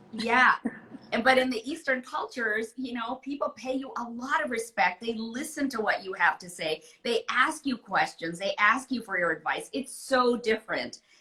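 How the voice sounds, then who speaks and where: Over noticeable background noise, a woman talks at a moderate pace with a high pitch and lively intonation. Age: 60s. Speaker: author. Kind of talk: interview. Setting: live video call.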